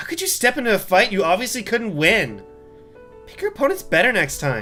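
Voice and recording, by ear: Over faint music in the background, a raspy, put-on character voice with a fairly high pitch moves at a fairly quick pace.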